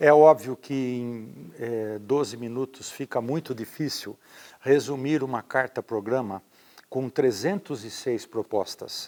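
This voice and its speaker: A man of medium pitch talks at a fairly slow pace in an ordinary speaking voice. The sound is dry and close, with no echo. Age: 60s. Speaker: mayoral candidate, former university rector. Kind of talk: interview.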